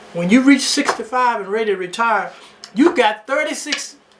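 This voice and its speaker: With noticeable background noise, a man at an extremely high pitch talks at a moderate pace with lively intonation. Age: 70s. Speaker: talk show host. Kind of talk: casual advice monologue.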